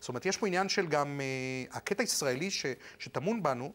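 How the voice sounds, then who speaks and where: The speaker is a man. His pitch swings very widely. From Argentina, moved to Israel at 15. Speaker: architect; interviewee. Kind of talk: TV interview. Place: studio. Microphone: lapel.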